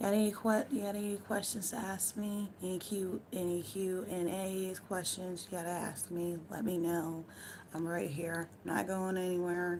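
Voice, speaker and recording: With an American accent, a woman speaks at a moderate pace in a medium-pitched voice. Her intonation is monotone and flat, with audible room echo. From United States. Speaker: live streamer. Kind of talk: casual chat. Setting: at home. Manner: relaxed.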